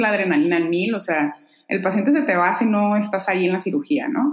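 Her intonation is lively as the woman talks. Noticeable background noise runs under her voice. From Mexico, Mexicali (Baja California). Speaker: urologist. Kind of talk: interview.

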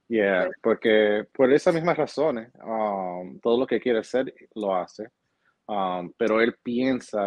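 A man talks in a normal speaking voice. His pitch sits fairly low, and his pace is fairly slow. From New Jersey, Hoboken. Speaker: real estate agent. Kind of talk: interview.

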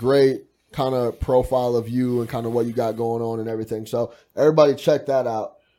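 A man with an American accent speaks at medium pitch in a dark, mellow tone. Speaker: podcast host. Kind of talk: casual interview. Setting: studio. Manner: animated.

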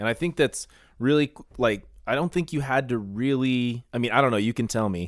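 A man at medium pitch in an ordinary speaking voice, with ordinary pitch variation and a fairly quick pace, on a very clean, dry, close recording with a silent background and no echo. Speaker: sports podcast host. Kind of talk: casual interview chat.

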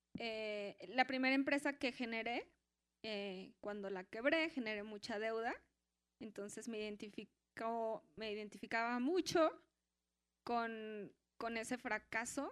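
Her pitch fairly high with ordinary pitch variation, a woman speaks at a very slow pace. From Mexico, Guadalajara. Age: 30s. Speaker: entrepreneur, workshop participant. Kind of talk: personal testimony in a live workshop.

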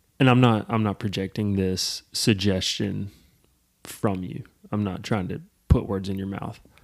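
On a very clean recording with a silent background, a man speaks in an unremarkable speaking voice, with fairly low pitch, fairly even intonation, moderate pace, and big swings in loudness. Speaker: podcast co-host; clinician. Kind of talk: casual chat.

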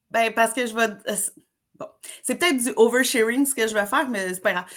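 On a very clean recording with a silent background, a woman with a Quebec accent speaks in an animated tone at a fairly high pitch with ordinary pitch variation. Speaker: summer camp trainer. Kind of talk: casual interview.

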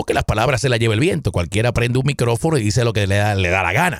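An animated man talks at a very fast pace. The recording is very clean, with a silent background and a dry, close sound with no echo. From Puerto Rico, Caguas. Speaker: political podcast host. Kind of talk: political commentary monologue.

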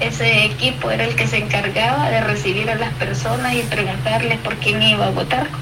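The woman's fairly quick speech comes with noticeable background noise behind it. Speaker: opposition politician. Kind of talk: phone interview.

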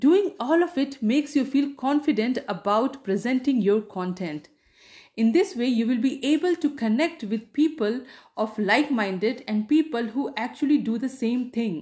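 In an Indian accent, a woman speaks at a moderate pace with a high pitch, lively intonation and a dark, mellow tone over a quiet background. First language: Hindi. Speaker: podcast host and writer. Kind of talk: tutorial.

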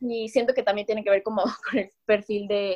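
A woman talks at a fairly quick pace in an ordinary speaking voice, fairly high in pitch, with a dry, close sound and no echo. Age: 20s. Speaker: key account manager. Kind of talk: casual chat.

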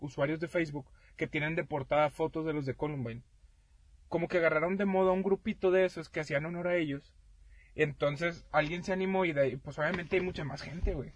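A man's fairly high voice, a normal speaking voice, shows ordinary pitch variation. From Mexico. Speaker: podcast co-host. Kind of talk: casual chat.

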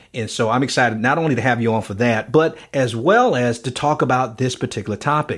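Moving at a fairly quick pace with hardly any pauses, a plain, everyday voice carries ordinary pitch variation. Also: man, medium pitch for a man. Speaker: podcast host. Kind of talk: casual interview.

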